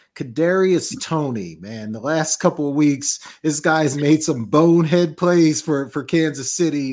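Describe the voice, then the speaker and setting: A man talks at a fairly slow pace in an American accent, his pitch fairly high. It is an ordinary speaking voice. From Georgia, US. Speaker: sports show co-host, teacher. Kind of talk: casual sports talk show banter.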